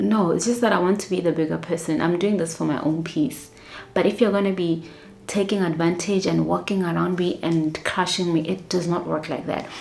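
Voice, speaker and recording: A soft-spoken woman with a fairly low voice talks at a fairly quick pace and with fairly even intonation, amid noticeable background noise and audible room echo. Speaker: flight attendant vlogger. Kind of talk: casual storytelling vlog.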